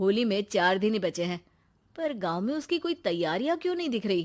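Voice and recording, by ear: A woman with a slightly mellow tone speaks at a medium pitch and a moderate pace, with lively intonation.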